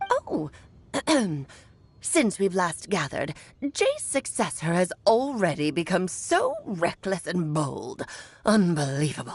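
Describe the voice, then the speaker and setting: A woman puts on a character voice. She talks at a fairly slow pace with long, frequent pauses. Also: medium pitch for a woman. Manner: grumbling, disapproving.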